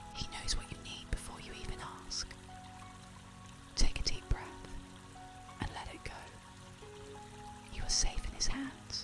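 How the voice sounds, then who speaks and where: Whispering comes through in a calm, soothing tone. Music plays in the background. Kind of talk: soft-spoken faith-based ASMR encouragement, bedtime meditation. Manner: soft-spoken, calm, soothing.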